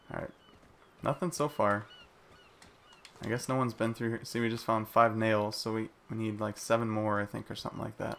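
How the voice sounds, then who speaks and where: A man at medium pitch, his intonation fairly even, with long, frequent pauses. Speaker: gaming livestreamer. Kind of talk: live gameplay commentary. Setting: livestream. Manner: casual, talking to chat.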